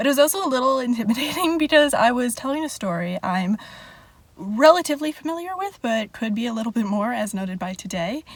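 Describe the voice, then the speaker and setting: Over noticeable background noise, a woman talks very fast at a high pitch. Her pitch swings very widely. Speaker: vlogger and party princess performer. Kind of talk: casual vlog chat. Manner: soft-spoken; filler-heavy, uses like a lot.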